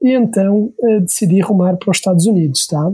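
A man with a dark, mellow tone speaks at a high pitch with ordinary pitch variation. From Portugal. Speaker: startup CEO. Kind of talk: casual interview chat.

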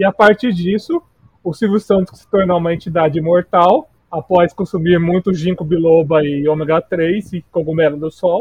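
A man's high voice at a moderate pace, with fairly even intonation and big swings in loudness. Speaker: podcast co-host. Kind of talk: casual chat. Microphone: bad microphone.

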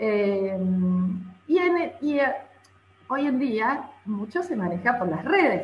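Through audible room echo and noticeable background noise, the voice moves at a very slow pace with very wide pitch swings. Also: woman. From Argentina, San Luis. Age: 30s. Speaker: violinist. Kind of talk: interview.

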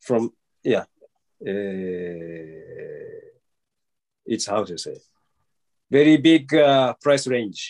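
A man at medium pitch, very slow in pace, with very wide pitch swings, big swings in loudness, long, frequent pauses and a dry, close sound with no echo. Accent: Japanese. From Japan. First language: Japanese. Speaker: traditional Japanese archery practitioner. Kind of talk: interview answers. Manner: halting.

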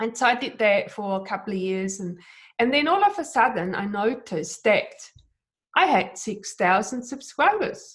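Somewhat breathy and with a non-native accent, the speaker moves at a moderate pace with lively intonation. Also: woman, fairly high pitch for a woman. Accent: foreign-accented English. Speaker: digital artist and YouTube creator. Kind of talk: casual interview chat. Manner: hesitant, with fillers and restarts.

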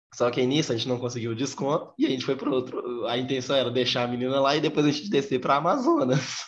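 A man talks at a very fast pace with hardly any pauses. His pitch is fairly high and his intonation fairly even. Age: young. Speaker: podcast guest. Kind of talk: casual chat.

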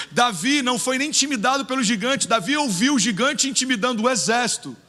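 A man's extremely high-pitched, raised and projected voice, very fast, bright and sharp, with ordinary pitch variation. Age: 30s. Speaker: pastor. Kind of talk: sermon. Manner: animated.

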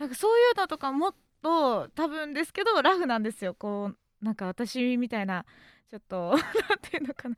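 High-pitched woman's speech at a fairly quick pace, with very wide pitch swings and a dry, close sound with no echo. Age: 20s. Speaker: livestreamer. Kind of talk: casual chat.

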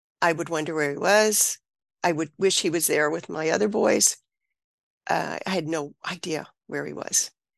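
Against a quiet background, a woman with an American accent speaks at a moderate pace with vocal fry, ordinary pitch variation, and long, frequent pauses. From US South, Mississippi Gulf Coast. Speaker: author and birth mother. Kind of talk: personal testimony interview.

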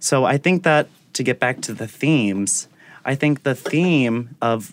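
A man talks with ordinary pitch variation. The recording is very clean and the background silent. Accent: American. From Attleboro, Massachusetts, US. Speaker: ballet dancer. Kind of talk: casual interview. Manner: animated, halting with many fillers.

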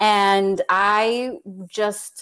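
A woman with a normal speaking voice and an American accent speaks at a medium pitch with ordinary pitch variation. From New York City (Queens). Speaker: children's author. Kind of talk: casual interview.

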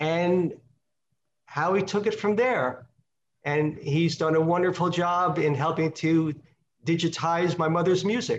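The speech moves at a fairly slow pace with long, frequent pauses. Loudness stays very even and intonation fairly even. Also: man, high pitch for a man. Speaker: doctor, son of singer. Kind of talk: interview storytelling.

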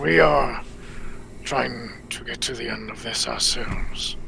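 Clear background noise sits behind a man doing a put-on character voice. He speaks at a fairly slow pace with a very deep, low pitch. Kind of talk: solemn fantasy speech. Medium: actual play. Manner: formal, no contractions.

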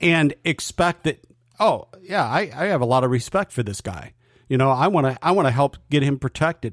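Delivery comes at a moderate pace with a dry, close sound and no echo. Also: man. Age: 60s. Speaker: sports podcast co-host. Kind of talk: casual sports chat. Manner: animated.

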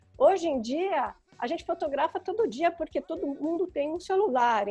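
Over music in the background, a woman talks at a moderate pace with lively intonation and an extremely high pitch. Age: 50s. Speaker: photographer. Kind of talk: interview.

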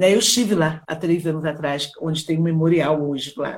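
A woman speaks in a somewhat breathy voice. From Brazil, Rio de Janeiro. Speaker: children's author and educator. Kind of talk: live interview.

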